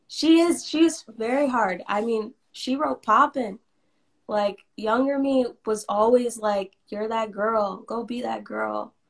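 Against a quiet background, a woman talks at a very slow pace with a fairly high pitch and ordinary pitch variation. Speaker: musician; interviewee. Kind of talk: casual interview. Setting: live video stream. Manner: casual, laughs often. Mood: earnest, reflective.

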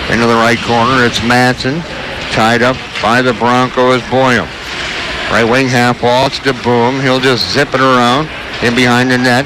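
A man's voice sounds dry with no echo, its intonation monotone and flat, and noticeable background noise runs underneath. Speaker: radio play-by-play announcer. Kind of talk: live hockey play-by-play commentary. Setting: arena broadcast for radio. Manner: rapid-fire, fluent, clipped play description. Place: stadium.

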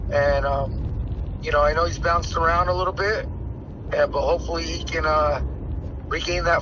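Noticeable background noise behind a man, his sound dry with no echo. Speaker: boxing trainer. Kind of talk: interview. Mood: relaxed, animated. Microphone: phone near.

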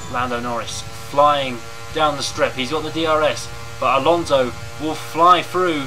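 Music plays in the background while the speech moves at a fairly slow pace. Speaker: gaming YouTuber commentating his own race. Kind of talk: live sports commentary over game footage. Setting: gameplay recording with voiceover. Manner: race-commentator cadence with repeated emphasis like 'huge, huge trouble'.

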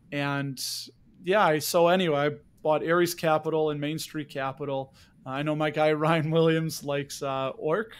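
On a very clean recording with a silent background, a man with a plain, everyday voice speaks at a moderate pace, his fairly high pitch held in fairly even intonation. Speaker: podcast host. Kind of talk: casual interview.

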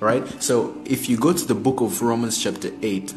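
A man talks at a medium speed while clear music plays behind him. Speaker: preacher on a live stream. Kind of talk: sermon. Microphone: phone near.

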